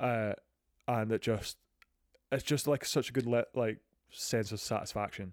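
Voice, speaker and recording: At a moderate pace and medium pitch, a man speaks with long, frequent pauses, the sound dry and close with no echo. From Scotland. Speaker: podcast host. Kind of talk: casual chat about video games.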